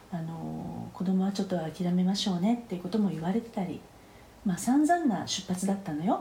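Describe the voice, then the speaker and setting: With audible room echo around her, a woman talks at a fairly quick pace with ordinary pitch variation. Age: 50s. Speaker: phytotherapist. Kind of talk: interview. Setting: remote recording.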